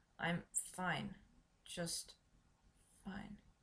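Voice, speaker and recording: Pitched in the middle, a female-sounding voice puts on a raspy character voice. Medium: read story. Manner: nervous, stammering.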